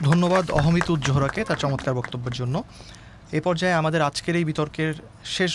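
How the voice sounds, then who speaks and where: A man's ordinary speaking voice at a fairly high pitch, with ordinary pitch variation. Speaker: debate judge and moderator. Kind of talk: formal moderation. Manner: formal.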